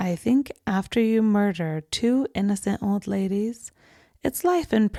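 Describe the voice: Text read aloud in a plain way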